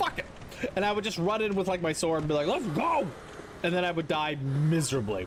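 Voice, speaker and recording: A man with a high pitch and an animated tone speaks at a fairly quick pace and very even loudness, with noticeable background noise. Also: lively intonation. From Canada. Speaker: video game streamer. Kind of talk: casual live-stream chat. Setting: live stream.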